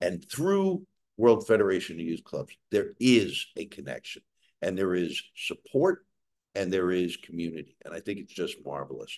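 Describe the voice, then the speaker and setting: A man with a New York accent talks at a moderate pace, his loudness swinging widely, in a dry, close recording with no echo. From New York City. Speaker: webcast host, former diplomat. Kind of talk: hosting an online event.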